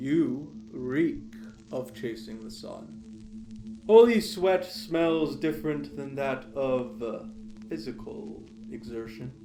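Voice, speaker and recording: A man puts on a character voice at a medium pitch, speaking very slowly over clear background noise. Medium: audio drama. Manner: curt, grumpy.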